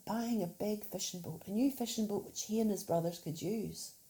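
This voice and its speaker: A woman speaks at a fairly quick pace in a Northern Irish accent, her pitch varying in an ordinary way. Her tone is dark and mellow, and somewhat breathy. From Northern Ireland. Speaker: storyteller. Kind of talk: children's storytelling.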